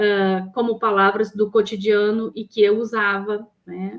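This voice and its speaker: A woman speaks at a fairly high pitch. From southern Brazil, Porto Alegre (Rio Grande do Sul). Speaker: psychologist and professor. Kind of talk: interview conversation.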